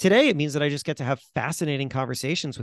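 A man with an American accent has an unremarkable speaking voice and ordinary pitch variation, heard in a dry, close sound with no echo against a quiet background. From Florida. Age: 40s. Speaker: magazine editor and author. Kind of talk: interview conversation. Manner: frequent fillers and repetitions.

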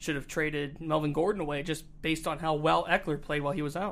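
Using an ordinary speaking voice, a man with an American accent talks fairly quickly at a fairly high pitch. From Northeast Ohio. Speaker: sports podcast host. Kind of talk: casual chat. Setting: studio.

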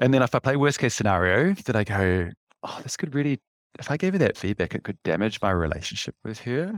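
A man with a New Zealand accent speaks with lively intonation, the sound dry and close with no echo on a very clean recording against a silent background. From New Zealand, West Auckland. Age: 50s. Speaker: leadership coach and freediver. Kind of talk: casual interview chat.

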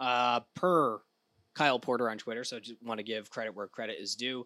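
This man speaks at a moderate pace with an American accent, at a medium pitch and with ordinary pitch variation, his tone bright and sharp in a dry, close sound with no echo on a very clean recording with a silent background. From Rhode Island, US. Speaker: golf podcast co-host. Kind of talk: casual chat.

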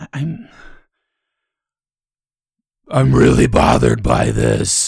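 A man puts on a raspy character voice, very deep and low in pitch, and speaks at a very slow pace. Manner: angry.

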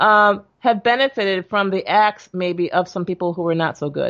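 A woman talks in a normal speaking voice at a medium pitch and moderate pace, with ordinary pitch variation. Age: 60s. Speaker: doctor. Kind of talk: interview.

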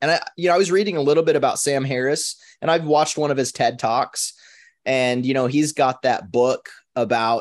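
A plain, everyday voice with an American accent speaks at a moderate pace with ordinary pitch variation over a quiet background. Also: man. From Minnesota. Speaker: podcast co-host. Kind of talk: casual discussion.

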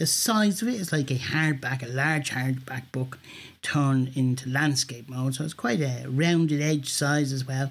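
Somewhat breathy, a man speaks at a moderate pace. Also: medium pitch for a man, ordinary pitch variation. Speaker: listener demonstrating audio gear. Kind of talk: recorded product demo.

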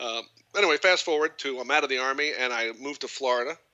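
An unremarkable speaking voice with an American accent, fairly even intonation and a fairly quick pace. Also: man. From Long Island, New York. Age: 40s. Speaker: lacrosse coach.

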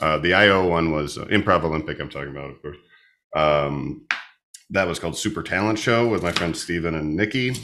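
The voice is bright and sharp, with ordinary pitch variation and big swings in loudness. It moves at a fairly quick pace against a quiet background. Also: man, very deep, low pitch for a man. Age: 30s. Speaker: comedian. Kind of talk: casual chat. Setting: home kitchen.

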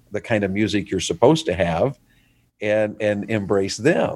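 This man speaks with a Southern US accent. The recording is very clean, with a silent background. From US South. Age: 50s. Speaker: evangelist. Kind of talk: casual interview.

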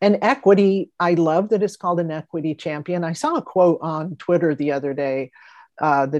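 In an ordinary speaking voice, a woman talks at a moderate pace with a fairly low pitch and ordinary pitch variation, the background quiet. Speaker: podcast host. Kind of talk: casual interview.

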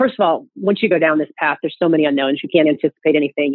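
A woman's very deep, low voice at a very fast pace, with ordinary pitch variation. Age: 40s. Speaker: single mother by choice. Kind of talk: interview conversation.

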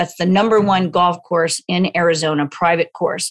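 A woman with an unremarkable speaking voice talks at a fairly quick pace, her medium pitch showing ordinary pitch variation. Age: 50s. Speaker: golf fitness trainer. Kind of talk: interview.

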